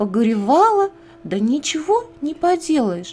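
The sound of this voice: A woman's dark, mellow tone at a fairly slow pace, with big pitch swings.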